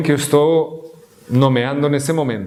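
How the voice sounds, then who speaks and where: A non-native accent at a moderate pace, with ordinary pitch variation, audible room echo and noticeable background noise. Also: man. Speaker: guest lecturer on Sufism. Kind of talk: lecture. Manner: halting, with false starts.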